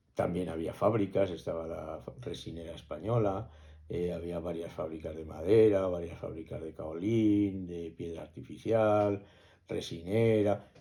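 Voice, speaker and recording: A man with a very deep, low pitch and a dark, mellow tone speaks at a fairly slow pace, his intonation fairly even but his loudness swinging widely. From Spain, Cuenca (Castilla-La Mancha). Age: 60s. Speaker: interviewee recalling village life. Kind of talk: oral history interview. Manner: hesitant, with frequent fillers and restarts.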